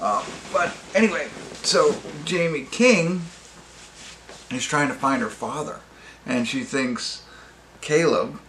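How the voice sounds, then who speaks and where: Against noticeable background noise and audible room echo, a man speaks at a very slow pace with very wide pitch swings. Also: long, frequent pauses. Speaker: movie reviewer. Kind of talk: casual review monologue. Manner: halting, many fillers and restarts.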